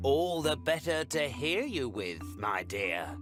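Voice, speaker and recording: A croaky, put-on character voice from a man, medium in pitch, at a fairly slow pace, with clear music in the background. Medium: read story.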